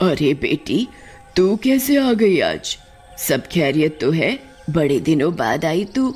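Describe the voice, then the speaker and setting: A cartoonish character voice at a middle pitch talks at a fairly slow pace while faint music plays in the background. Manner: cackling, gloating.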